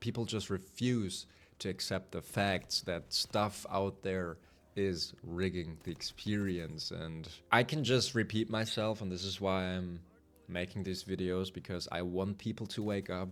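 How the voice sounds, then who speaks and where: A man speaks with a German accent at a fairly slow pace, using fairly even intonation. His pitch is very deep and low, and the recording is very clean with a silent background. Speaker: gaming youtuber. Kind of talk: unscripted monologue. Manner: rambling, casual.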